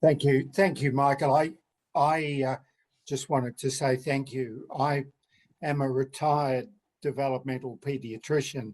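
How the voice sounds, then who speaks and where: In an Australian accent, a man talks at a medium pitch. His delivery is fairly slow, with monotone, flat intonation. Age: 70s. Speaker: retired paediatrician, audience member. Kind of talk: audience comment.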